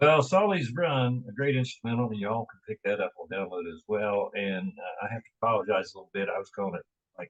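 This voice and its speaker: A man speaks at a very fast pace and medium pitch, somewhat breathy. His intonation is lively, with big swings in loudness. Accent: West Virginia. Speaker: radio host. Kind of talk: casual interview chat.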